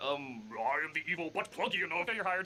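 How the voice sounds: Putting on a character voice, a man talks at a fairly quick pace and a fairly high pitch, with clear background noise behind him.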